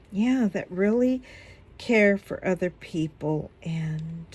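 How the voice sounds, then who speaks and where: A woman speaks in a somewhat breathy voice. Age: 60s. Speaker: YouTuber, diamond painting and Bible study. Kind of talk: casual vlog chat. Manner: hesitant with frequent fillers.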